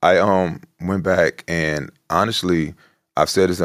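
A man speaks with vocal fry and fairly even intonation. The recording is very clean, with a silent background. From Chicago South Side. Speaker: actor and former football player. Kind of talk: interview.

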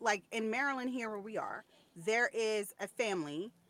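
Close and dry with no echo, a woman speaks very slowly. Her pitch is fairly high, with ordinary variation. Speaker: podcast co-host. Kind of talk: casual chat.

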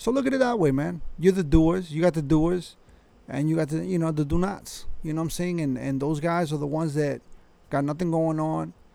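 A man speaks at a fairly high pitch with ordinary pitch variation. His tone is dark and mellow, with vocal fry. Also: moderate pace.

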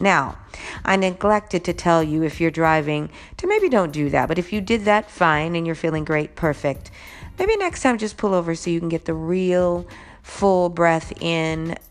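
Music plays in the background. The speaker talks at a fairly slow pace with fairly even intonation. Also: woman. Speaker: podcast host. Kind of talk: solo podcast monologue.

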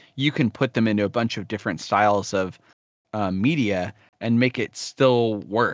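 On a very clean recording with a silent background, a man speaks at a moderate pace in a normal speaking voice, fairly low in pitch, with a dry, close sound and no echo. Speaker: podcast host. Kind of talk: casual chat.

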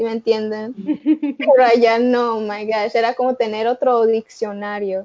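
A woman with a rather high pitch talks somewhat slowly, her intonation monotone and flat. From Chicago, US. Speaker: college student. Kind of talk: casual chat.

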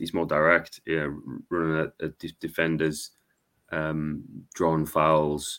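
A man with a Wearside accent talks at a moderate pace. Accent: Wearside (Sunderland) English. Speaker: podcaster and football fan. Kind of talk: casual chat. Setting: video call.

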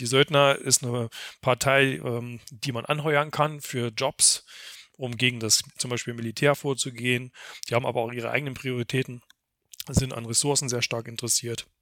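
In a very clean recording with a silent background, a man at medium pitch speaks at a moderate pace with a bright, sharp tone and monotone, flat intonation. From Thuringia, Germany. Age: 40s. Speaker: event organizer. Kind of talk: podcast interview.

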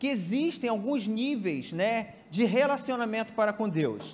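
A man speaks at a fairly slow pace with a high pitch and ordinary pitch variation. Noticeable background noise is present. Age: 40s. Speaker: church elder preaching. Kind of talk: sermon. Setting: church.

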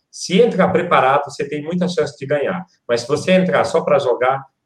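A man's high-pitched voice moves at a moderate pace with lively intonation. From Ceará, Brazil (Quixeramobim). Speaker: motivational speaker. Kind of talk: live-stream interview.

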